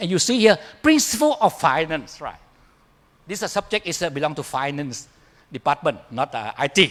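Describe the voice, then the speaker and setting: The speaker is a man. His pitch is high. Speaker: professor. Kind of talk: conference keynote. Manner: fast; halting.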